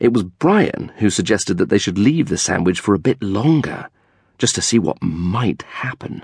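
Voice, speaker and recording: Animated in tone, a man speaks at a fairly slow pace with a fairly low pitch and lively intonation. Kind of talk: scripted audiobook narration of a children's comic story. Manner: measured, clearly paced, animated with arch comic timing.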